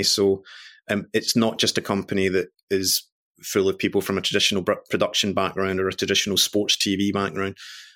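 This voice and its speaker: Here a man talks in a Glaswegian accent. His pitch is fairly low and his pace fairly quick. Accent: Glaswegian Scottish. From Scotland, Glasgow. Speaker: media executive. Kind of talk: interview. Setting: video call. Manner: halting with repetitions.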